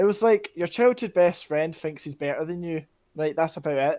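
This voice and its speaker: A man's high-pitched voice, with ordinary pitch variation, comes through on a very clean recording with a silent background. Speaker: gaming video co-host. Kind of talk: casual debate. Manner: stutters at times.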